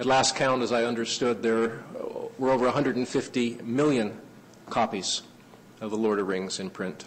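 A man is speaking at a moderate pace. His intonation stays fairly even. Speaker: lecturer. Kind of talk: lecture.

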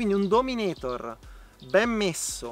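A man's voice comes through dry, with no echo. Faint music plays in the background. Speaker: motorcycle vlogger. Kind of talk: casual review talk. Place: forest.

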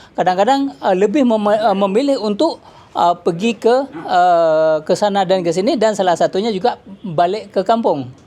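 A man's high voice with a dark, mellow tone, lively intonation and a moderate pace. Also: very even loudness. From Aceh, Indonesia. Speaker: businessman. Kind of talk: speech at signing ceremony. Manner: halting, many fillers.

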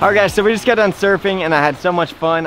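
Over faint background music, a man speaks at a very fast pace, the sound dry with no echo. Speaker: treasure hunting vlogger. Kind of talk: casual vlog chat. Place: waterside.

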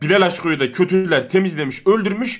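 A man with a high-pitched voice speaks at a fairly quick pace against a quiet background. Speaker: online game player. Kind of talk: casual chat. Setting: video call. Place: home room.

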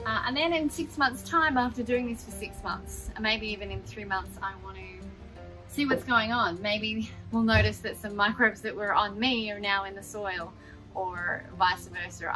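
Over faint music in the background, a woman speaks at a moderate pace with big swings in loudness. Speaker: gardening vlogger. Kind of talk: casual vlog chat. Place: garden.

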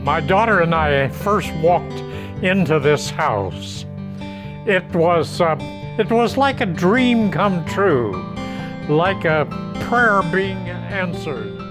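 A man at a very slow pace, fairly high in pitch with very wide pitch swings, clear music in the background. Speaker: home buyer client. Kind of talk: client testimonial. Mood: warm, grateful. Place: garden. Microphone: lapel.

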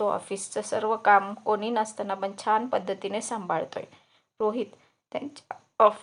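Against a quiet background, a natural reading voice is heard.

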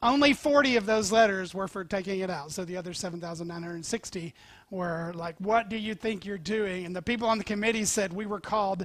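A man speaks in a bright, sharp tone with ordinary pitch variation. The sound is dry with no echo against a quiet background. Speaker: preacher. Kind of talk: sermon. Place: church. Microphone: headset.

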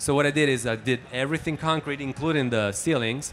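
An Italian accent with ordinary pitch variation over light background noise. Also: man. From Italy. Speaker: mixing engineer. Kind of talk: casual interview. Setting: music trade show. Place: hall. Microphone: handheld.

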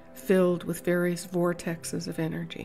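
Music plays behind a woman as she talks. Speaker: meditation guide. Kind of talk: guided meditation. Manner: slow, soft-spoken.

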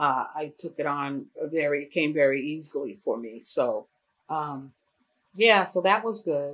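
A woman with an American accent speaks at a fairly slow pace in a very deep, low voice, with lively intonation and big swings in loudness. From Syracuse, New York; New York. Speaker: fashion designer; interviewee. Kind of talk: interview answer.

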